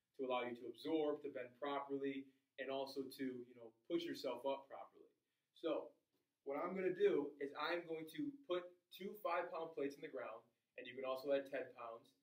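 Over a quiet background, a man talks at a fairly quick pace, and the room echo is audible. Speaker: fitness trainer. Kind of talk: tutorial. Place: gym. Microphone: camera far.

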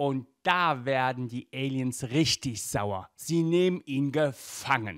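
A man with a medium pitch and a fairly bright tone, slow pace and lively intonation, on a very clean recording with a silent background.

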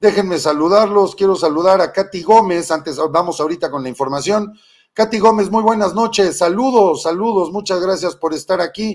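Over a quiet background, a man speaks at a moderate pace in a high pitch with ordinary pitch variation. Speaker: political live-stream host. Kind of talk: political commentary.

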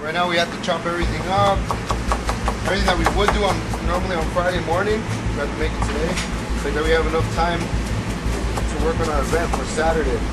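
Music plays in the background. Over it, a man talks at a very fast pace. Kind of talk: interview answer. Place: kitchen. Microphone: camera far.

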